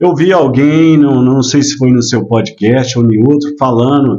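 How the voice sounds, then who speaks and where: A man's medium-pitched voice moves fairly slowly, with ordinary pitch variation. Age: 60s. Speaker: businessman and former mayoral candidate. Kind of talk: casual interview chat. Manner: hesitant, many filler words.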